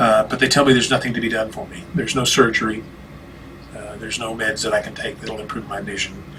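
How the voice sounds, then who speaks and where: Talking at a very fast pace, a man is heard. Noticeable background noise runs underneath. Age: 60s. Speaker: minister with vision loss. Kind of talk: interview conversation. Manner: halting, many fillers and restarts.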